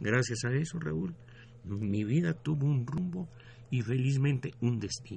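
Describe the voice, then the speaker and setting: Somewhat breathy and dark, mellow in tone, the voice moves at a fairly slow pace with lively intonation. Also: man, medium pitch for a man. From Mexico, Guanajuato (left as child). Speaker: retired engineer and music promoter. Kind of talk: radio interview. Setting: radio studio.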